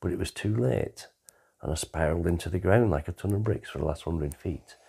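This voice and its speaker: The recording is very clean, with a silent background. A man speaks with a very deep, low pitch, a dark, mellow tone, a somewhat breathy quality and ordinary pitch variation. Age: 60s. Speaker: storyteller recounting his life. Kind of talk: personal life story narration.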